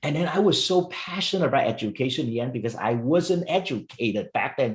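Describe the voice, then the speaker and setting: A man's somewhat breathy voice at a fairly quick pace with lively intonation. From Vietnam. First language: Vietnamese or Chinese. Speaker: education entrepreneur. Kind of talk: interview. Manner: repetitive stammering.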